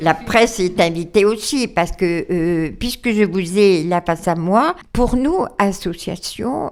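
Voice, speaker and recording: A woman's very slow speech with hardly any pauses, medium pitch and ordinary pitch variation. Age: 80s+. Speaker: charity president. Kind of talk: radio interview. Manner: hesitant, many fillers.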